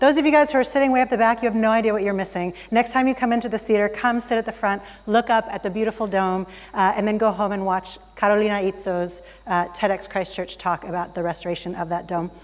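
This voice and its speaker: A woman with an American accent speaks at a very fast pace. Noticeable background noise runs underneath. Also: medium pitch for a woman, ordinary pitch variation. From United States. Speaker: keynote speaker. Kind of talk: conference keynote talk. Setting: stage in a theater with audience. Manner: animated.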